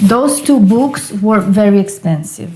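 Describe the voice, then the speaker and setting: Her intonation lively, a woman talks at a very slow pace and a medium pitch. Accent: non-native. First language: not English. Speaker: occult and tarot YouTuber. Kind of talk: casual book review. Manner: hesitant, with fillers.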